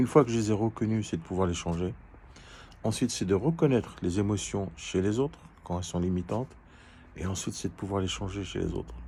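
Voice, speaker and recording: A man talks at a fairly quick pace in a fairly low, somewhat breathy voice with a dark, mellow tone. His pitch varies in an ordinary way, and long, frequent pauses break up the speech. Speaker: life coach. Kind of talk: educational talk. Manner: halting, hesitant.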